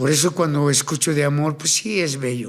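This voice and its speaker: With ordinary pitch variation, the talking unfolds at a fairly slow pace. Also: man. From Colombia, Cartagena. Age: 60s. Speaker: tattoo artist and ex-convict speaker. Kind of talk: interview conversation. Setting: studio. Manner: animated.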